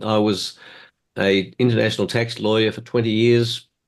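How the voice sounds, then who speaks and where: Over a quiet background, a man with an Australian accent speaks at a fairly quick pace. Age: 70s. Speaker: motivational speaker. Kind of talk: presentation.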